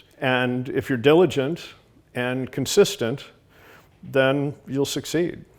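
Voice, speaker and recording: A man at a medium pitch, fairly slow in pace with ordinary pitch variation, on a very clean recording with a silent background. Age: 60s. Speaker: aquarium designer, company founder. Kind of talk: talking-head interview. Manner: hesitant, many fillers and repeated words.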